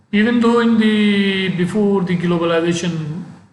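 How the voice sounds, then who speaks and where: Noticeable background noise and audible room echo surround a man's voice. He speaks with a non-native accent and fairly even intonation. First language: not English. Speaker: professor. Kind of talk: lecture. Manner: halting.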